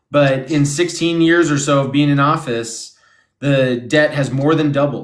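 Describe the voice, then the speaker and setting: A man of medium pitch speaks with audible room echo around him. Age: 30s. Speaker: political candidate. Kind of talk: interview.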